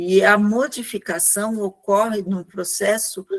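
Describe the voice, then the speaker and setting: Speech moves at a very slow pace with fairly even intonation. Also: woman. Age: 60s. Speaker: neurodevelopment rehabilitation professional. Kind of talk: panel discussion.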